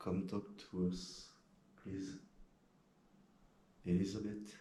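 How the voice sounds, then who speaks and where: Very slowly and in a flat monotone, a man speaks with a very deep, low, somewhat breathy voice amid audible room echo. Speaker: paranormal investigator. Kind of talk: casual explanation to camera; voice-over narration. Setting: inside a castle at night.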